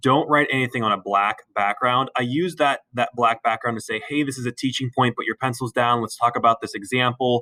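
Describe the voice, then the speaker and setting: A man talks at a fairly quick pace with medium pitch and fairly even intonation. His tone is bright and sharp, with a dry, close sound and no echo. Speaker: biology teacher. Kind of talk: tutorial. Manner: fast; halting.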